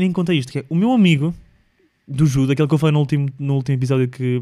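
Animated and very fast, a man with a European Portuguese accent speaks at a fairly high pitch with ordinary pitch variation. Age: 20s. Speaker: podcast host. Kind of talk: solo casual monologue.

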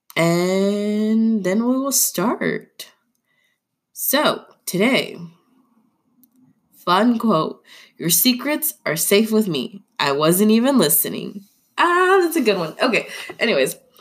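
With a fairly high pitch, a woman speaks at a very slow pace, her pitch swinging very widely between long, frequent pauses. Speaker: podcast host. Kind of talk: casual podcast monologue. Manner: chatty, informal.

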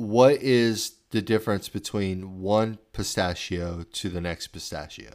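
A man's ordinary speaking voice, fairly low in pitch with ordinary pitch variation and hardly any pauses, on a very clean recording with a silent background. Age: 30s. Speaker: podcast host. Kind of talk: casual chat.

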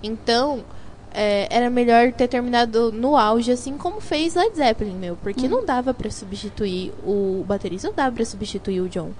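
Over noticeable background noise, a woman with a fairly high pitch speaks at a moderate pace with lively intonation. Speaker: student radio host. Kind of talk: scripted intro segments mixed with casual chat.

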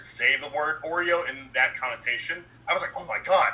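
Very fast speech from a man with an American accent, fairly high pitch, lively intonation and noticeable background noise. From Baltimore, US. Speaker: filmmaker and writer. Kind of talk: casual chat. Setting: video call. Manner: soft-spoken.

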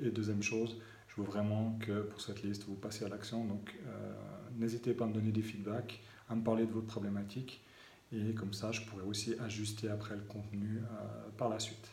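Over noticeable background noise and audible room echo, a man talks fairly quickly in a fairly low, monotone, flat voice. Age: 30s. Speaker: digital marketing coach. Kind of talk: video message to subscribers. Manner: halting, many fillers.

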